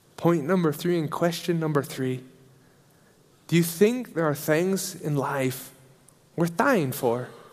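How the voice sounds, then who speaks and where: A man with a fairly high pitch speaks at a fairly slow pace, leaving long, frequent pauses. His pitch varies in an ordinary way, and audible room echo is present. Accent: American. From US Midwest, Nebraska. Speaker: missionary preacher. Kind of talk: sermon. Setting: church service.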